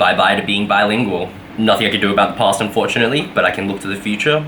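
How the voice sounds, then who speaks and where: Audible room echo and noticeable background noise fill the recording. A man speaks at a fairly low pitch. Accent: Australian. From Australia (Brisbane). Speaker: vlogger, game developer. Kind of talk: casual vlog. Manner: casual, many fillers.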